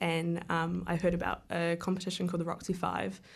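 A woman with a New Zealand accent talks in a fairly low pitch, her intonation monotone and flat, with vocal fry. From New Zealand, Wellington area. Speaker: filmmaker. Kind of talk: radio interview. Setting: radio studio.

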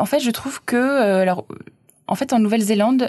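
A woman with a fairly high pitch speaks at a moderate pace with ordinary pitch variation, the sound dry and close with no echo. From France, Auvergne (Clermont-Ferrand). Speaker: French language institute volunteer teacher. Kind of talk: casual interview. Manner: hesitant, many fillers.

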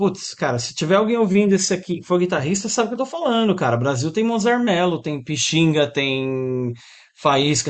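Using very wide pitch swings, a man with a high pitch speaks at a moderate pace. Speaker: guitar teacher and musician. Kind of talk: interview.

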